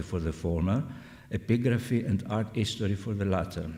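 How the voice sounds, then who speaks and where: A man's somewhat breathy, dark and mellow voice with a non-native accent, lively intonation and a moderate pace, plus audible room echo. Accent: foreign. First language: Greek. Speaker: scholar. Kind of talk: lecture.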